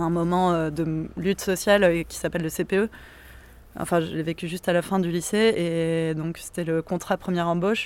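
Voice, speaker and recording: Delivered at a moderate pace in a flat monotone, the speech is recorded very cleanly with a silent background. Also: woman, fairly low pitch for a woman. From southern France, Montpellier. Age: 30s. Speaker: activist. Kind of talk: casual interview. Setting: outdoors in a cemetery.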